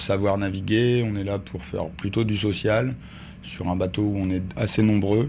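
A man's voice has a dark, mellow tone, a fairly low pitch and fairly even intonation. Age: 30s. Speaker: volunteer ship captain. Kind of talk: sailing instruction and interview. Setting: aboard a sailing ship.

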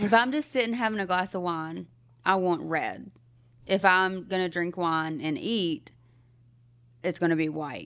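A woman with a Southern US accent speaks at a fairly slow pace and medium pitch, taking long, frequent pauses. Her intonation is lively, and the recording is very clean with a silent background. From US South. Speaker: podcast co-host. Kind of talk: casual chat. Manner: laughs often.

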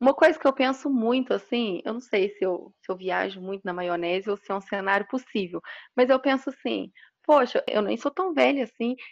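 A woman's ordinary speaking voice with lively intonation at a moderate pace. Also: fairly high pitch for a woman. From Minas Gerais, Brazil. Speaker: electrical engineer. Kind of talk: interview.

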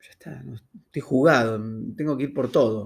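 Pitch shifts in an ordinary way as a man talks. His voice carries a somewhat breathy quality. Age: 50s. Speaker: cancer survivor. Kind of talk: testimony.

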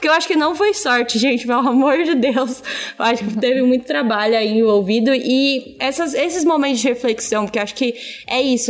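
Here a woman talks at a fairly quick pace. Her high-pitched voice shows ordinary pitch variation. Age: 20s. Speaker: audiovisual content creator. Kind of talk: job interview-style podcast chat. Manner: animated.

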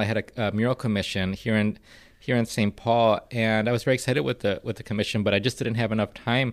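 In a very clean recording with a silent background, a man uses a normal speaking voice at a medium pitch, speaking at a fairly quick pace with fairly even intonation. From Minnesota, partly raised in Guatemala. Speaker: arts nonprofit director. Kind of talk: podcast interview.

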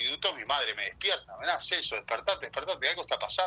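A man with music in the background. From Uruguay, Rocha. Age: 40s. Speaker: TV news reporter. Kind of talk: interview. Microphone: phone on speaker.

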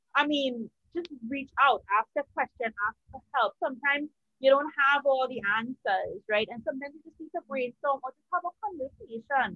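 A woman speaks at a high pitch and a moderate pace. Her intonation is lively, and her loudness swings widely. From Trinidad and Tobago. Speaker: podcast co-host, media and PR consultant. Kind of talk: casual chat. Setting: home with fireworks and party noise in background. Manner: animated.

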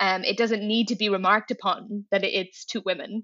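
In a Dublin accent, a woman talks at a fairly quick pace. Her intonation stays monotone and flat. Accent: Dublin Irish. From Ireland, Dublin. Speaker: tech public affairs manager. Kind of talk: interview. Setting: video call.

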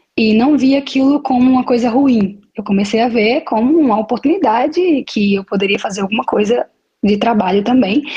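A woman talks at a moderate speed in a high voice, her pitch varying in an ordinary way. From Brazil, Maceió, Alagoas (Northeast). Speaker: model and beachwear entrepreneur. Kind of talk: interview. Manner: halting, with hesitations.

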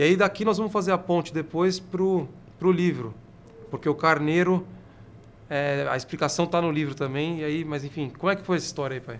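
At a fairly quick pace, a plain, everyday voice moves with ordinary pitch variation. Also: man, fairly high pitch for a man. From São Paulo. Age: 30s. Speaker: city councillor and podcast host. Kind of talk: casual interview.

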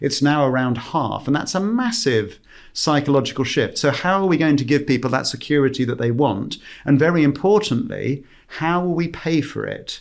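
Speaking in an ordinary speaking voice, a man uses lively intonation at a fairly high pitch and a moderate pace. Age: 50s. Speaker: company CEO and visiting professor. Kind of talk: panel discussion.

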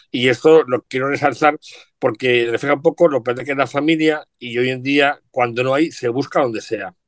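A man's medium-pitched voice at a moderate pace, with a dry, close sound and no echo. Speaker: journalist and radio presenter. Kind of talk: casual chat. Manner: animated.

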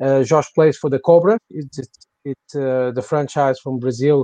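Dark and mellow in tone, a man with a Portuguese accent speaks at a moderate pace and medium pitch with fairly even intonation, in a dry, close sound with no echo. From Portugal. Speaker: podcast host. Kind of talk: casual chat.

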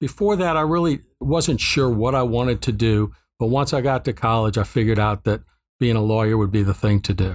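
This man has an ordinary speaking voice with an American accent, medium pitch and ordinary pitch variation. He speaks at a fairly quick pace with very even loudness, on a very clean recording with a silent background. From Ohio. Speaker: judge. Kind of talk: interview.

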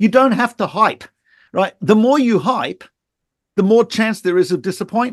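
Man with an Australian accent, high pitch and ordinary pitch variation at a moderate pace, long frequent pauses, dry close sound with no echo over a quiet background. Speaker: rabbi and Torah teacher. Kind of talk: interview conversation. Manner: halting.

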